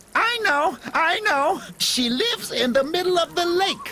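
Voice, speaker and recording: A put-on character voice at an extremely high pitch moves at a fairly slow pace. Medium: game stream. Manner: good-natured, giggly.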